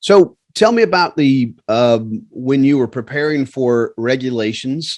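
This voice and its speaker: This man's voice sits at a medium pitch with ordinary pitch variation. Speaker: flight instructor course host. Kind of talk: casual interview.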